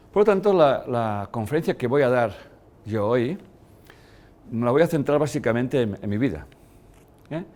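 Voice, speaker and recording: Using lively intonation, a man at medium pitch speaks at a moderate pace with long, frequent pauses. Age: 60s. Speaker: lecturer. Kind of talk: lecture. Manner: halting.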